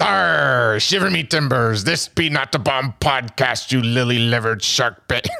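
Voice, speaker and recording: A man in a put-on character voice speaks at a medium pitch with hardly any pauses. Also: moderate pace. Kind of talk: pirate slang. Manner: mock-gruff, playful.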